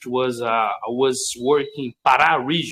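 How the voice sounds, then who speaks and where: This is a man talking. He has a Portuguese accent. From Brazil. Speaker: English language learner. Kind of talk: casual chat. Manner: halting.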